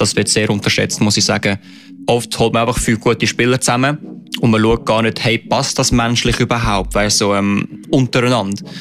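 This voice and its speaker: With music in the background, a man speaks at a moderate pace and very even loudness. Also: medium pitch for a man, fairly even intonation. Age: 20s. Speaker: esports player. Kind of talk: interview. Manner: hesitant, many filler sounds.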